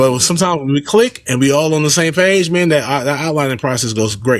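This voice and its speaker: The man talks at a very fast pace and a fairly high pitch. His loudness stays very even, with ordinary pitch variation. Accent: American. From Los Angeles, South Central. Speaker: comedian and content creator. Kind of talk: casual interview chat.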